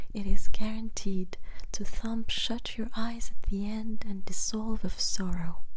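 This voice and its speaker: Soft-spoken words at a very slow pace. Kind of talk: poetry reading.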